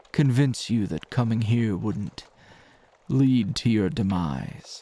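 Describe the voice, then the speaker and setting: This is a put-on character voice at a low pitch. The pace is fairly slow. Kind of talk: ASMR roleplay. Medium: audio drama. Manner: calm, measured, condescending.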